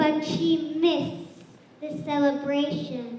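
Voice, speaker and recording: At a very slow pace, a put-on character voice with a high pitch rings out with clear echo. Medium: stage play. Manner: sly, servile.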